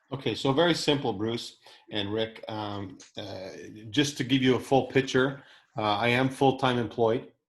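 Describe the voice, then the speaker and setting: This is a man with a normal speaking voice at medium pitch. He keeps a moderate pace with ordinary pitch variation. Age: 50s. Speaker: entrepreneur. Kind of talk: casual chat.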